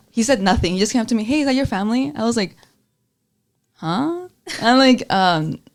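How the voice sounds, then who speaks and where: Speaking with a Spanish accent, a woman talks at a fairly quick pace in a fairly high pitch with lively intonation and long, frequent pauses. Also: very clean recording, silent background. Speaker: student journalist, podcast host. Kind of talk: casual chat.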